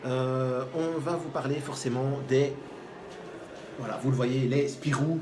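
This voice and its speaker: A man speaks very slowly with a Charleroi accent, his pitch fairly high and his intonation flat and monotone. Long, frequent pauses break up his speech, with audible room echo and noticeable background noise. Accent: Charleroi Belgian. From Belgium, Charleroi. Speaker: basketball show host. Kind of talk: casual sports debate. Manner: hesitant, many fillers.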